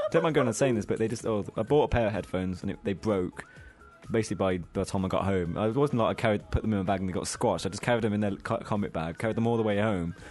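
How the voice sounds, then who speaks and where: A man with a British accent and fairly low pitch at a very fast pace, with music in the background. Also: ordinary pitch variation. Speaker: podcast co-host.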